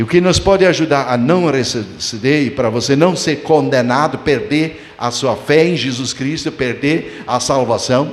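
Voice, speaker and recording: Pausing hardly at all, a man speaks at a fairly slow pace and a fairly high pitch, with audible room echo. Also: ordinary pitch variation. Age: 70s. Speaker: pastor. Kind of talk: sermon. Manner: halting.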